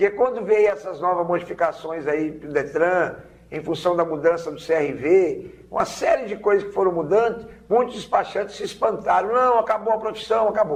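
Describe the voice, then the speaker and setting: A man with a high pitch and ordinary pitch variation talks at a moderate pace with hardly any pauses and big swings in loudness. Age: 60s. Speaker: vehicle documentation agent. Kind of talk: TV interview.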